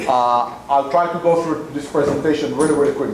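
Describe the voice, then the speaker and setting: Amid audible room echo and noticeable background noise, a man with an Israeli accent talks at a very fast pace in a fairly high pitch with ordinary pitch variation. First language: Hebrew. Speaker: community center executive director. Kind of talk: talk to a club audience. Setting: meeting room with PA microphone and audience. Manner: hesitant with many fillers and repetitions.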